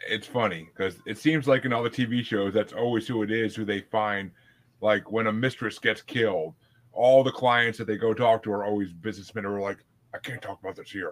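With fairly even intonation and medium pitch, a man with an unremarkable speaking voice moves at a fairly quick pace. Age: 30s. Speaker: podcast host. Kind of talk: casual chat.

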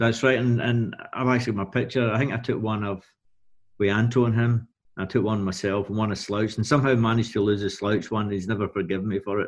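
Against a quiet background, someone with a Glaswegian accent speaks at a very fast pace with fairly even intonation. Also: man, fairly low pitch for a man. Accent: Glaswegian Scottish. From Scotland, Glasgow area. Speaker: music tour and artist manager. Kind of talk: casual interview.

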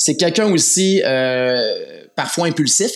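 This man speaks with lively intonation. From Quebec, Laval area. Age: 40s. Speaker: volunteer Bible narrator, project manager. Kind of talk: interview. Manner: halting, many fillers.

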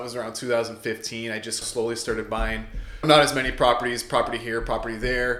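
Speaking fairly quickly in an animated tone, a man with an Ontario accent is heard with noticeable background noise and audible room echo. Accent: Canadian (Ontario). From Canada, Windsor-Essex, Ontario. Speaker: real estate investor and realtor. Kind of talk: podcast interview. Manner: casual, animated.

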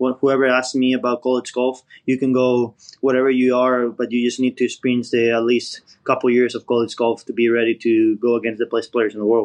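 A man with a Spanish accent at a medium pitch and a fairly quick pace, in a dry, close sound with no echo. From Spain. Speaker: professional golfer. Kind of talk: interview answers, casual chat.

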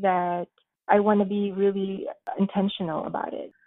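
Fairly slow speech comes from a woman with a medium pitch. Her intonation is monotone and flat. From Philippines, moved to Los Angeles at 11. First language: Tagalog. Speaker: community organizer and mother. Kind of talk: podcast interview.

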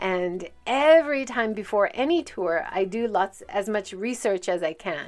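In a very clean recording over a silent background, a woman speaks at medium pitch with a Hawaiian accent. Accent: American (Hawaii). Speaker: podcast host and tour guide. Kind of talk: solo podcast monologue.

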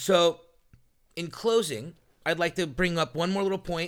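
On a very clean recording with a silent background, a man speaks in a high voice with a bright, sharp tone. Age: 40s. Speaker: podcast host. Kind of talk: casual chat. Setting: studio.

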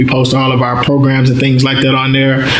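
The speaker has a Louisiana accent. Noticeable background noise is present. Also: man. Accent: Southern US, Louisiana. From North Louisiana, Mansfield. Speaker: nonprofit founder. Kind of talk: interview.

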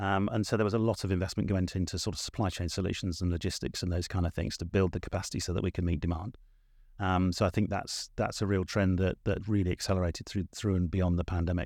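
Speaking very fast in an English accent, a man has a very deep, low pitch. His intonation is fairly even on a very clean recording with a silent background. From southern England. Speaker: corporate marketing executive. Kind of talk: interview conversation.

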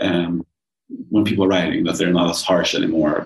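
A man speaks with a Swedish accent. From Sweden. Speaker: journalist and author. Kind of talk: interview conversation. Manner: halting.

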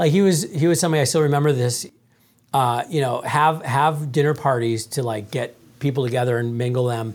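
A man's unremarkable speaking voice, fairly high in pitch, at a fairly quick pace with ordinary pitch variation. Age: 40s. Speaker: author and sales coach. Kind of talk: casual interview.

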